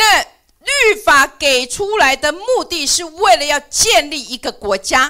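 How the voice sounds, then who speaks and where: A woman speaks in a raised, projected voice at an extremely high pitch, her pitch swinging very widely. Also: fairly slow pace. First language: Mandarin. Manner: halting.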